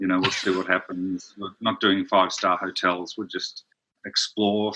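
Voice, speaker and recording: The voice has a bright, sharp tone. Its intonation is monotone and flat. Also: man. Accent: Australian. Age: 60s. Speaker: brand strategist. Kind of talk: interview.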